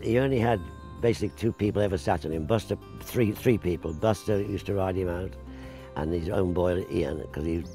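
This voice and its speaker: Over clear background music, a man with a very deep, low pitch speaks at a fairly quick pace, the sound dry with no echo. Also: ordinary pitch variation. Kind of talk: interview answer. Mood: fond, amused reminiscing. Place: garden. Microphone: lapel.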